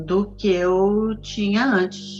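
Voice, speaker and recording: With music in the background, a woman speaks at medium pitch with fairly even intonation. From Rio de Janeiro, Brazil. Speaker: actress. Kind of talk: interview answer.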